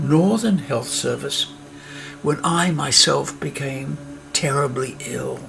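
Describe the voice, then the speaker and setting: Music plays behind a man speaking at a fairly slow pace. His intonation is lively, and room echo is audible. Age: 80s+. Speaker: documentary filmmaker. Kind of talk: personal narration over breathing exercise.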